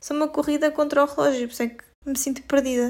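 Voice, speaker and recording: A woman's high voice at a fairly quick pace. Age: 30s. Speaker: podcast co-host, clinician. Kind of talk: casual chat. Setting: video call.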